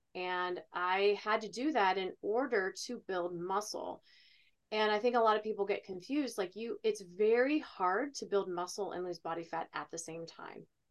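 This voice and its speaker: A woman with a normal speaking voice talks at medium pitch, keeping ordinary pitch variation and a moderate pace. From Ohio. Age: 40s. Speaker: fitness coach and retired bodybuilder. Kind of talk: casual chat.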